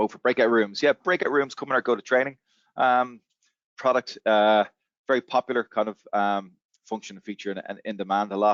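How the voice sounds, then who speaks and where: A man at medium pitch and a fairly quick pace, with ordinary pitch variation and big swings in loudness. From Ireland. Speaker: software company representative. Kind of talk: webinar Q&A. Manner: fast; hesitant with fillers.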